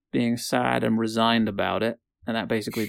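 Quiet surroundings behind a natural reading voice

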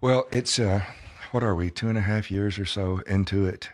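A man with a fairly low pitch speaks at a moderate pace, with an unremarkable speaking voice. His pitch varies in an ordinary way against a quiet background. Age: 60s. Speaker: pastor and author. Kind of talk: interview testimony. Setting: studio.

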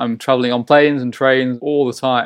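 A man's medium-pitched voice with a Yorkshire accent at a fairly quick pace, dry and close with no echo, against a quiet background. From East Yorkshire, Hull. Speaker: ballet dancer. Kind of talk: interview.

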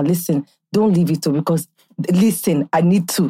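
A woman speaks at a fairly quick pace in an animated tone. Her pitch variation is ordinary. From Nigeria. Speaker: podcast host. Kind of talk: casual chat. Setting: studio.

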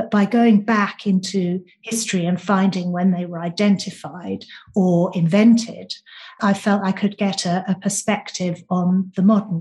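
A woman with a British accent, somewhat breathy, flat and monotone, at a fairly slow pace. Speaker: author. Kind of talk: interview.

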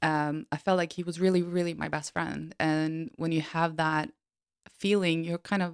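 A woman with a Norwegian accent and fairly low pitch speaks with fairly even intonation, on a very clean recording with a silent background and a dry, close sound that has no echo. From Norway. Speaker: podcast co-host. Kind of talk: casual chat.

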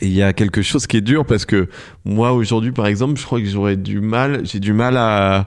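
A man speaks at a moderate pace in a fairly low voice with fairly even intonation. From France, countryside. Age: 30s. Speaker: photographer and film director. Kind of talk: casual chat. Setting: home recording studio. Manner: halting, many fillers and repetitions.

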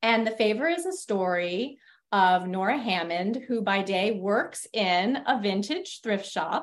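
At a fairly slow pace, a woman with an American accent speaks in an ordinary speaking voice, medium in pitch with ordinary pitch variation. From US Northeast (New York). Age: 50s. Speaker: novelist. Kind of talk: interview.

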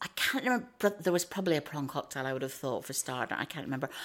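A woman with a Northern Irish accent and a fairly low pitch is heard in a very clean recording with a silent background. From Northern Ireland, small town. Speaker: food writer. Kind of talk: casual chat.

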